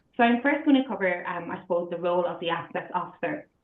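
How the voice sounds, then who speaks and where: Very fast and with lively intonation, a woman speaks at a medium pitch with an Irish accent. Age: 30s. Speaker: accessibility specialist. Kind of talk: prepared presentation.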